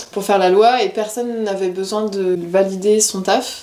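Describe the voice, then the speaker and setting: Speech at a moderate speed comes through with audible room echo and noticeable noise in the background. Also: woman. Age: 20s. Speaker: tattoo artist. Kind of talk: interview. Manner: casual, lively.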